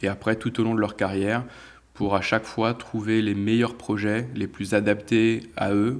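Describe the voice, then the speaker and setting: At a moderate pace, a man talks in a fairly low, monotone voice with flat intonation. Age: 30s. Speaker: sports agent. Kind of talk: interview.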